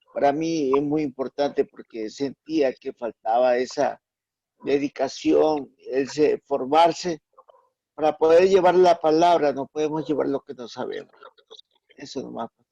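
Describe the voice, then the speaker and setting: In a dry, close recording with no echo, a man with a plain, everyday voice and fairly high pitch speaks at a fairly slow pace, his intonation fairly even and his loudness swinging widely. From Ecuador, Playas. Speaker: online Bible class student. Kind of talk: self-introduction in online class.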